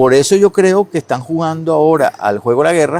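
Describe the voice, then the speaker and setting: A man's voice with lively intonation, dry and close with no echo. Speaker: economist, advisor. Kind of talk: interview. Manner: fast.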